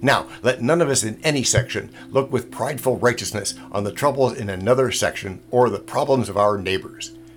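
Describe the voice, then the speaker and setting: Over music in the background, a man at a medium pitch talks at a fairly quick pace with hardly any pauses and ordinary pitch variation. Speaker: podcast host. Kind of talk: period speech, archival political address to a formal audience.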